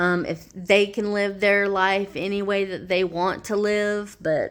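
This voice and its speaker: Flat and monotone, a woman speaks at a fairly slow pace. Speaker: vlogger. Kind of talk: casual video diary. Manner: hesitant, many fillers.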